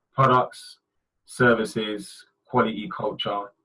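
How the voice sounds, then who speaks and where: A man is speaking. His tone is bright and sharp. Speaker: brand designer presenting webinar. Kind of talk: webinar presentation. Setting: online webinar. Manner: fast.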